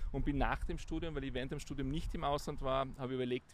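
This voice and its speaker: A man speaks with vocal fry. His intonation is fairly even. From Austria, Tyrol (Innsbruck). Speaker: business executive. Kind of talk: interview. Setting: outdoors.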